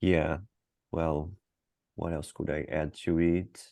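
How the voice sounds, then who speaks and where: A man's very deep, low voice in a Portuguese accent, dark and mellow in tone, with monotone, flat intonation. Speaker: interviewee. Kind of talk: mock cognitive interview. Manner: halting, searching for words.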